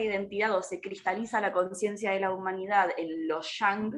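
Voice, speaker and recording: Her pace is moderate, and this woman has a medium pitch and a normal speaking voice. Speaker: astrologer and ecofeminist activist. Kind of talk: casual chat.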